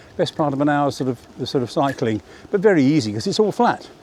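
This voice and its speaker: Over noticeable background noise, a man with a fairly high pitch speaks at a fairly quick pace. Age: 70s. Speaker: vlogger. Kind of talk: casual vlog narration. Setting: outdoors on a bicycle. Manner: relaxed, meandering with fillers.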